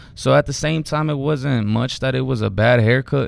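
The man has a plain, everyday voice. He keeps a moderate pace with ordinary pitch variation. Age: 20s. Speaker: barber and photographer. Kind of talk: casual chat.

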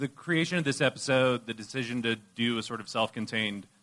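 Over a quiet background, a man speaks at a fairly quick pace in a bright, sharp tone with ordinary pitch variation. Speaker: podcast host and interviewer. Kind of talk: interview. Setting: panel event recording.

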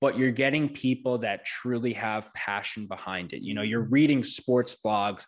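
A man with an American accent speaks in a plain, everyday voice at a medium pitch. His pace is fairly slow, his intonation fairly even, and the background quiet. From New York. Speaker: brewery co-founder and podcaster. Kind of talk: casual chat.

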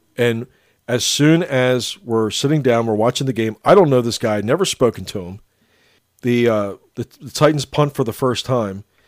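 In a normal speaking voice, a man talks at a moderate pace with medium pitch and lively intonation, captured in a very clean recording with a silent background and a dry, close sound with no echo. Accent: American. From Lancaster County, Pennsylvania. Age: 50s. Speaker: podcast host. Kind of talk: casual chat.

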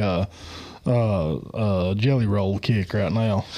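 In an Appalachian accent, a man speaks with a dark, mellow tone. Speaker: podcast host. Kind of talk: casual chat. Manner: loud; abrasive.

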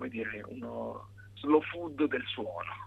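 A man's voice over noticeable background noise. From Italy, Pesaro (Marche). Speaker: pianist and composer. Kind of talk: interview. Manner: halting.

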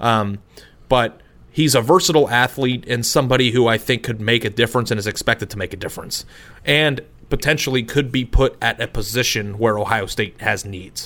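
Here is a man with a normal speaking voice and medium pitch. He talks at a fairly quick pace with ordinary pitch variation. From Arizona. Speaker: sports podcast co-host. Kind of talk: casual chat.

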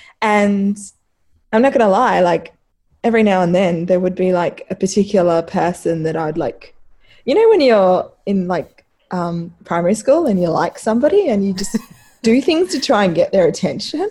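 Speaking with lively intonation at a moderate pace, a woman has a medium pitch and a dark, mellow, somewhat breathy tone. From Africa. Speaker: women's football writer and website founder. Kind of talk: casual chat.

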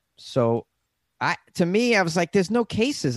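A man with an American accent, dry, close sound with no echo and a quiet background. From US New England (Massachusetts, Boston). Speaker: stand-up comedian and podcast host. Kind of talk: casual chat. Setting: video call. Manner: halting.

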